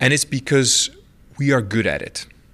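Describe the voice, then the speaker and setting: A man speaks with a Dutch accent and ordinary pitch variation. The recording is very clean, with a silent background. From Netherlands. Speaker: telecom CEO. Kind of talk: interview. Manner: halting.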